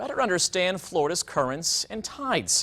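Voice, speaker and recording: An ordinary speaking voice from a man, moderate in pace, with lively intonation. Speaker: TV news anchor. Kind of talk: TV news anchor delivery, anchor demo reel.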